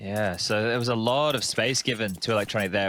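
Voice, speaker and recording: Recorded very cleanly against a silent background, a man with an Australian accent speaks at medium pitch with a bright, sharp tone and fairly even intonation. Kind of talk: live commentary.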